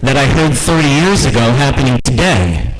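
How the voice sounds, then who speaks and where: A man with an American accent at medium pitch and a fairly slow pace, with noticeable background noise and audible room echo. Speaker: radio host. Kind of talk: impromptu speech. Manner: loud.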